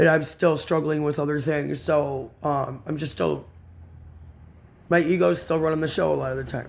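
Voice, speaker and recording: A man talks at a moderate pace with a fairly high pitch and ordinary pitch variation. The room echo is audible. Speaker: spiritual video blogger. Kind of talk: reading aloud with personal commentary. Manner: calmer than before.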